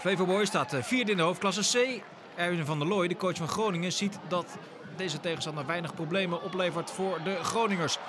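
Amid noticeable background noise, a man with a high pitch talks at a fairly quick pace with ordinary pitch variation. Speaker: football commentator. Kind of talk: match commentary.

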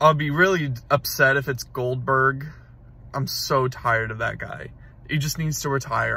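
At a moderate pace, a man speaks in a bright, sharp tone with monotone, flat intonation and a dry sound with no echo. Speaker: vlogger. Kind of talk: casual vlog chat. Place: car. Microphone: phone near.

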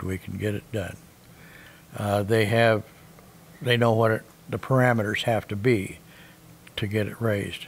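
A man speaks at a fairly slow pace in an American accent. His intonation is monotone and flat. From US Midwest. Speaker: seed corn farmer. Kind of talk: interview answer. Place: home room.

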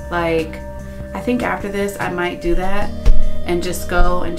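Music plays in the background. A woman talks at a moderate pace. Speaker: beauty vlogger. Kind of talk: casual vlog chat. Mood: relaxed, calm. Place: bathroom. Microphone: phone near.

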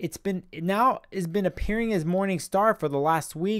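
A man is heard. Behind him, things stay quiet. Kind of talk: explanatory vlog talk. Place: home room. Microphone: studio mic.

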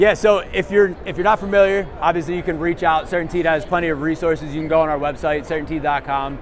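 A man at a fast pace, fairly high-pitched for a man, with little pitch movement and clear background noise.

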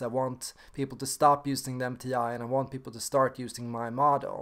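A man's flat, monotone delivery at a fairly quick pace against a quiet background. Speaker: personality type video maker. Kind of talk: casual talk to camera. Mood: calm, reflective. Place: home room. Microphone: webcam.

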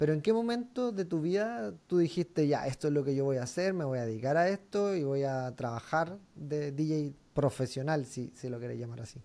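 A man's fairly high voice, dark and mellow, with lively intonation, a moderate pace and hardly any pauses. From Chile. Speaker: podcast host and DJ; podcast host, DJ. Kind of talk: casual interview. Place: home room. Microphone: studio mic.

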